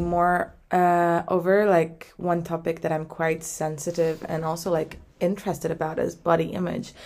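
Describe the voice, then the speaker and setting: Speaking at a moderate pace with hardly any pauses, a woman holds a fairly low pitch in a monotone, flat delivery. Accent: Turkish. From Turkey. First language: Turkish. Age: 20s. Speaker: podcast co-host, graduate student. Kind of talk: casual chat.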